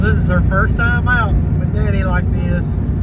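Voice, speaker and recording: A man with a Southern US accent in a relaxed tone, amid noticeable background noise and audible room echo. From US South. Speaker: outdoor travel vlogger. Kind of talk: casual vlog narration. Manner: relaxed, conversational.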